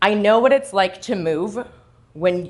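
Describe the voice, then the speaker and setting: A woman with a Canadian accent speaks loudly in an animated tone at a moderate pace. The background is quiet. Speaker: self-sabotage coach. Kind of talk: motivational talk. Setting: stage with audience.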